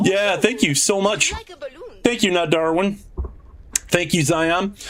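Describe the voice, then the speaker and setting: A man speaks at a very slow pace in a high voice, with ordinary pitch variation. His loudness stays very even, and background noise is noticeable. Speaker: video game streamer. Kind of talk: live gameplay stream.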